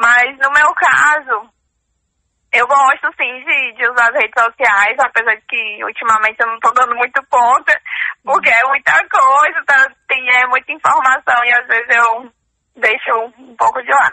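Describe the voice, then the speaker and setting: At a fairly slow pace, a woman talks in a high pitch with ordinary pitch variation and big swings in loudness. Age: 20s. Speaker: student. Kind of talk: interview.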